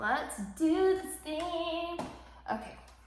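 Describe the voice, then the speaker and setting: A woman's voice carries audible room echo. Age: 20s. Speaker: beauty vlogger. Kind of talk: casual makeup tutorial chat. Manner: casual, many fillers.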